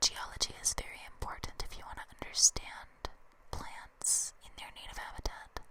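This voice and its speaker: Noticeable background noise surrounds a woman who is whispering. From Canada. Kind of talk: ASMR book reading. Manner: whispered, up close; soft-spoken, slow.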